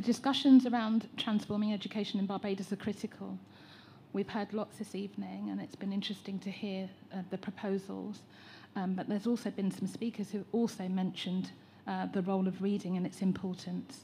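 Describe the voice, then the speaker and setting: Speaking with an English accent at a fairly quick pace, a woman uses a medium pitch, a dark, mellow, somewhat breathy tone and monotone, flat intonation. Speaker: educator and teacher trainer. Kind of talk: public consultation contribution.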